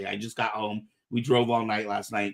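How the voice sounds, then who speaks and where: A man's bright, sharp, upbeat voice. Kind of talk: casual podcast host talk.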